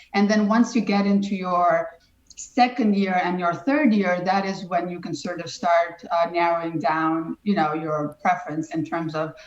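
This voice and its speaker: Woman's voice, fairly low in pitch with ordinary pitch variation, against noticeable background noise. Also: moderate pace. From Albania. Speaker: immigration attorney. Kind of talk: interview. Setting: podcast.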